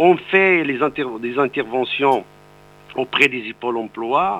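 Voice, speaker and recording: This is a man talking. His intonation is lively. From Morocco, Atlas mountains. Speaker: president of a workers' aid institute. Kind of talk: radio interview.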